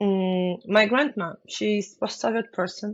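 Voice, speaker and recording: A woman talks with a Ukrainian accent. Her pace is very slow. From Ukraine. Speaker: business owner. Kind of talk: interview. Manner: halting.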